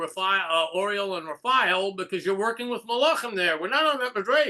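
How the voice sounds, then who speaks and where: This man's high-pitched, bright and sharp voice is raised and projected, with ordinary pitch variation. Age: 60s. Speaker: Orthodox rabbi. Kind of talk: casual chat. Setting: video call.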